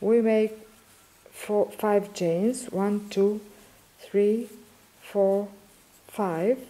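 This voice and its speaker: Amid noticeable background noise, a woman with a Greek accent speaks at a very slow pace and medium pitch, monotone and flat, at a very even loudness, with long, frequent pauses. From Greece. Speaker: crochet teacher. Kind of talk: tutorial. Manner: halting.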